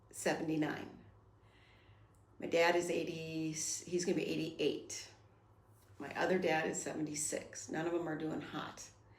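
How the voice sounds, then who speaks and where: In audible room echo, a woman with a fairly low pitch speaks in a monotone, flat way at a moderate pace. She leaves long, frequent pauses. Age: 50s. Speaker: podcast host. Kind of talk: casual monologue. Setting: home recording.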